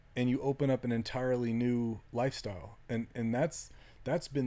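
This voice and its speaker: A man talks at a moderate pace in a medium pitch. His tone is dark and mellow, and his intonation stays fairly even. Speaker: ultramarathon runner and coach. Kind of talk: casual chat. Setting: in a trailer.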